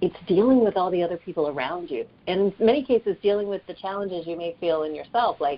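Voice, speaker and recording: Speaking very fast with hardly any pauses, a woman uses a medium pitch, ordinary pitch variation and an American accent. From US South, Atlanta area. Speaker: career advisor and author. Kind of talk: interview.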